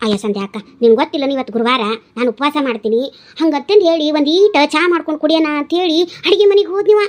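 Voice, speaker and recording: Using a cartoonish character voice, a woman talks at a fairly quick pace in a high pitch with very wide pitch swings. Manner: chatty, laughing.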